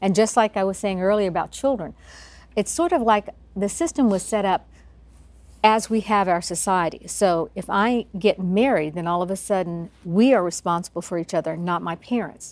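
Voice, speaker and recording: In a plain, everyday voice, the speaker uses ordinary pitch variation. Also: woman, medium pitch for a woman, moderate pace. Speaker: lawyer. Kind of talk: interview answer.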